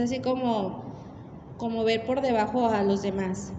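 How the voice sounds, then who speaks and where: Against noticeable background noise and audible room echo, a woman speaks at a fairly slow pace with ordinary pitch variation. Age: 30s. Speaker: preacher. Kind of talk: sermon.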